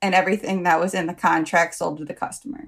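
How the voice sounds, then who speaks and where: Speaking in an American accent, this woman holds a medium pitch that shifts with ordinary variation. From United States. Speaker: project manager. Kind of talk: casual interview.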